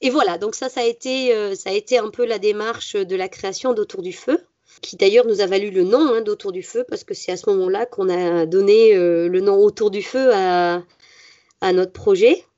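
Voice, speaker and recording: A woman's medium-pitched voice shows ordinary pitch variation as she talks at a moderate pace. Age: 30s. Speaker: forest school teacher. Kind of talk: interview. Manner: halting.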